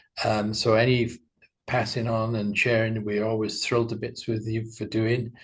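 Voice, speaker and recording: A man speaks in a somewhat breathy voice with monotone, flat intonation. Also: medium pitch for a man, moderate pace, quiet background. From UK. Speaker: animation studio owner. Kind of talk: interview.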